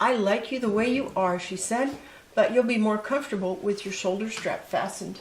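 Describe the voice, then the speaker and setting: A woman's voice with ordinary pitch variation, amid noticeable background noise. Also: fairly high pitch for a woman, fairly quick pace. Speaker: grandmother reading to grandchildren. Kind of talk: children's story read-aloud.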